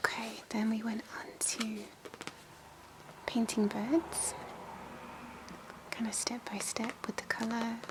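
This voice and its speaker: A soft-spoken woman whispering at a very slow pace, with long, frequent pauses and noticeable background noise. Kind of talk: ASMR soft-spoken scrapbook show-and-tell. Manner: soft-spoken, whispery.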